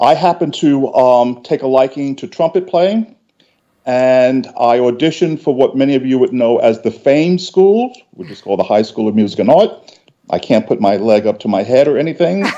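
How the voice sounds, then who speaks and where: Here a man speaks at medium pitch in a dark, mellow tone with a New York accent. His intonation is lively and his pace moderate. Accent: New York City. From New York City (South Bronx). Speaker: industry panelist. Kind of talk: panel discussion. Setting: digital broadcast. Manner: halting, repeats words.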